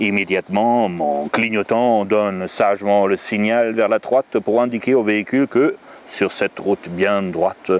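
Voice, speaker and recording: A man speaks at a fairly slow pace with a fairly low pitch, the sound dry and close with no echo, over noticeable background noise. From Germany. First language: German (speaking French). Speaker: storyteller and author. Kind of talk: reading aloud. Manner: animated.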